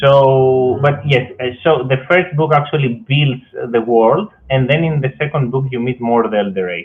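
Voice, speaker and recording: A man with a Greek accent, medium in pitch, with ordinary pitch variation and a moderate pace. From Greece. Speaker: fantasy author. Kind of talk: interview. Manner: halting.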